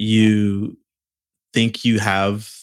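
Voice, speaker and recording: The recording is very clean, with a silent background. The voice speaks in a flat monotone. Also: man. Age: 30s. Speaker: podcast producer and filmmaker. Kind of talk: casual interview.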